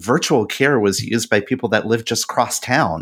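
Very clean and silent in the background, this recording features a man at a medium pitch and a moderate pace. He has an unremarkable speaking voice. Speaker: podcast co-host. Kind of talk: casual podcast discussion.

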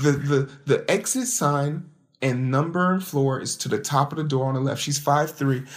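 On a very clean recording with a silent background, a man sounds animated and somewhat breathy, with ordinary pitch variation. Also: moderate pace. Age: 30s. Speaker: podcast host. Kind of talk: solo commentary podcast. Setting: home, late at night.

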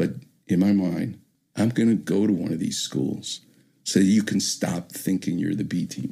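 A man's dark, mellow voice carries lively intonation and vocal fry. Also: fairly low pitch for a man, moderate pace. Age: 60s. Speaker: orthopedic surgeon. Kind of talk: casual chat. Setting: studio. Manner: animated.

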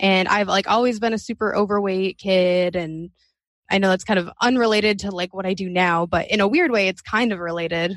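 Medium-pitched and fairly even in intonation, an unremarkable speaking voice from a woman. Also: fairly quick pace. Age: 20s. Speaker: podcaster. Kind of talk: casual interview chat.

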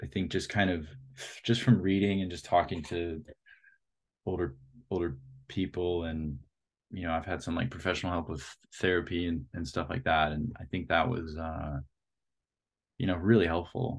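Against a quiet background, a man with a very deep, low, somewhat breathy voice speaks at a moderate pace, leaving long, frequent pauses. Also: ordinary pitch variation. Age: 30s. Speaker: art director and photographer. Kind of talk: casual interview.

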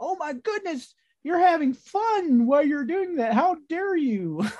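At a moderate pace, a speaker puts on a high-pitched character voice. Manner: mock outrage, exaggerated.

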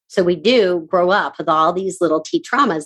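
The tone is animated. The pace runs fairly quick. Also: woman. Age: 50s. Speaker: podcast host and productivity coach. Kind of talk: casual interview chat. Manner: fast talker; animated, excitable.

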